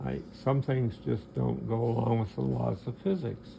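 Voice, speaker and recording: Fairly slow and fairly low-pitched, a man speaks with very wide pitch swings. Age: 70s. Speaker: clock maker. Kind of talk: product demonstration. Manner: halting.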